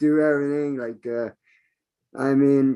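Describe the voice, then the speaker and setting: A man talks in a plain, everyday voice at a fairly high pitch. His pace is moderate. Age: 60s. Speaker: online business member. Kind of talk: open mic testimony.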